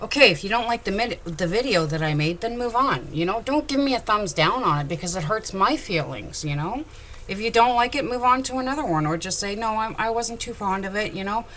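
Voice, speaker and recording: A woman talks loudly at a fairly quick pace with hardly any pauses, her fairly high voice moving through very wide pitch swings. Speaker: crafter. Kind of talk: tutorial. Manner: animated.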